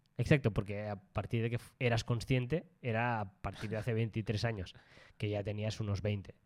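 At a moderate pace, a man talks with a fairly low pitch and fairly even intonation. The recording is very clean, with a silent background. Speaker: travel podcast co-host. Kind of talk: casual chat.

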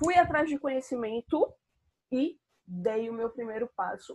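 Pitched high, a woman's voice moves through very wide pitch swings. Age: 30s. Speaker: personal finance content creator. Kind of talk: live stream monologue. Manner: casual, with many fillers.

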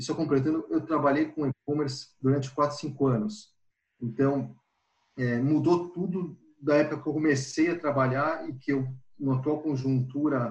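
His voice is fairly high and somewhat breathy. The man keeps a moderate pace, with ordinary pitch variation. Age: 40s. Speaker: marketing professional. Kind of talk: casual chat.

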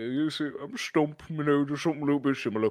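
A man does a put-on character voice at a fairly high pitch and a very fast pace. The recording is very clean, with a silent background. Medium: actual play. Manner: gentle, friendly.

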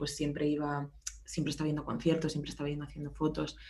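Very fast in pace, a woman talks with a very deep, low pitch and a dark, mellow tone. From Spain, Barcelona. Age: 20s. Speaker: music tour photographer. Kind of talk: casual chat.

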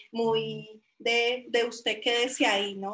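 This woman talks at a very slow pace with a fairly high pitch. Her intonation is monotone and flat. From Colombia, Caldas coffee region (Chinchiná). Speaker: software development manager and designer. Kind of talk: interview.

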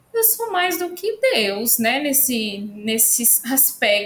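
A woman speaks over noticeable background noise. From São Paulo city, Brazil. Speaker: nutrition professor. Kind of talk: casual chat.

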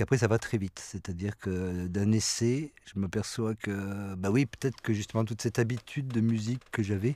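A man's fairly low, dark, mellow voice at a moderate pace, fairly even in intonation, on a very clean recording with a silent background. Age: 50s. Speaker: musician. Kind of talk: interview. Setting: studio.

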